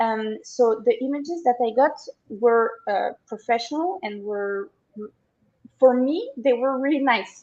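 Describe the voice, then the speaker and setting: A woman with a French accent speaks at a fairly slow pace in a high pitch, with ordinary pitch variation. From France. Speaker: online seller, agency client. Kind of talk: interview. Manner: halting, many fillers.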